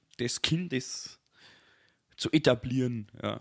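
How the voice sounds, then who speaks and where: A man at medium pitch with ordinary pitch variation, speaking at a very slow pace in a dry, close sound with no echo. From Bavaria, Germany. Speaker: podcast co-host. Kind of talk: casual chat.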